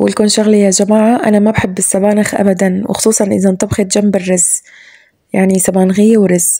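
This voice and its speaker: Her tone is dark and mellow, and this woman's intonation is monotone and flat. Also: medium pitch for a woman, moderate pace. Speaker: home cooking vlogger. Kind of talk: voiceover narration of cooking routine.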